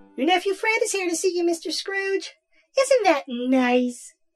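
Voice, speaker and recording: A squeaky, put-on character voice moves at a moderate pace over faint background music. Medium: audio drama. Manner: chirpy, meek.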